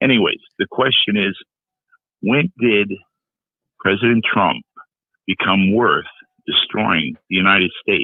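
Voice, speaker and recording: Keeping his loudness very even, a man talks at a fairly slow pace with long, frequent pauses. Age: 60s. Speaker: caller, retired firefighter. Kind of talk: call-in talk show.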